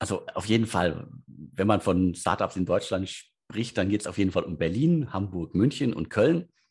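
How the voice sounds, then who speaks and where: Lively intonation and a somewhat breathy voice come at a moderate pace against a quiet background. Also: man, fairly low pitch for a man. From Ruhr area, Germany (Bottrop). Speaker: editor-in-chief of a startup news site. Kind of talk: interview. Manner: halting, many fillers.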